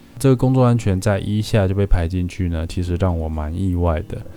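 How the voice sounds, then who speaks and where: Music plays in the background as a man with a very deep, low pitch talks at a fairly quick pace with ordinary pitch variation. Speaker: podcast host, paramedic student. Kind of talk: scripted narration.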